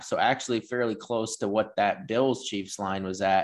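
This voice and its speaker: With an American accent, a man talks at a fairly quick pace in an ordinary speaking voice of medium pitch. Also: quiet background. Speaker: sports betting podcast host. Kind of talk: casual sports chat and betting picks.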